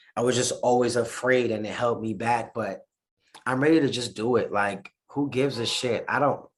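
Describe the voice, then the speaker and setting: A man with a New York accent speaks at a medium pitch with fairly even intonation. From New York City. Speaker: musician. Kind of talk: interview.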